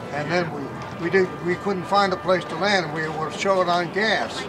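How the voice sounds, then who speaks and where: With audible room echo and noticeable background noise, a man speaks at a high pitch and moderate pace with fairly even intonation. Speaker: WWII bomber crew veteran. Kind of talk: interview.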